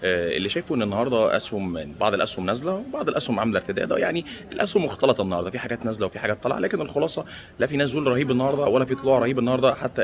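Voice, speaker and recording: Over noticeable background noise, a man of medium pitch talks at a very fast pace with hardly any pauses. His intonation is lively. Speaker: stock market commentator. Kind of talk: casual vlog commentary. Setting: airport. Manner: speaking quietly; halting, repeats words.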